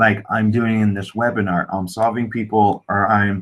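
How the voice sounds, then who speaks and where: With a fairly low voice, a man talks at a moderate pace. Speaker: online marketing coach. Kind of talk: webinar presentation.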